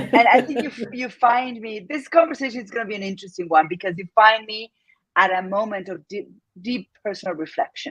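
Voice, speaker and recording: Her pitch fairly high and her intonation lively, a woman with an Argentine accent talks at a fairly quick pace with big swings in loudness. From Argentina. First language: Spanish. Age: 50s. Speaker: entrepreneur. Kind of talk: interview.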